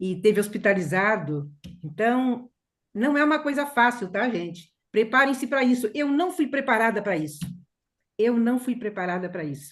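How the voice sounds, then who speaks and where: At a moderate pace, a woman talks with a fairly high pitch that swings very widely. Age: 70s. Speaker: course participant. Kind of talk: personal testimony in group sharing. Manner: halting.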